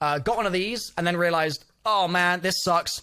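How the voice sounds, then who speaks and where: A man talks in a high pitch with a bright, sharp tone and an English accent. The recording is very clean, with a silent background. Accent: English accent, noted by host. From England, London. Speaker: gaming content creator. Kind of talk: interview.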